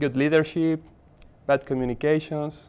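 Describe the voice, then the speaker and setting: A fairly high-pitched male voice with an Argentine accent. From Argentina, Buenos Aires. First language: Spanish. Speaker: MBA student, HR professional. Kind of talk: interview.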